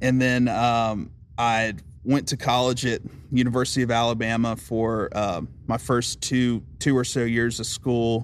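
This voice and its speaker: A man with a Southern US accent talks at a fairly slow pace and a medium pitch, with monotone, flat intonation. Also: very even loudness. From US South, Aiken, South Carolina. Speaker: songwriter. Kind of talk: casual chat.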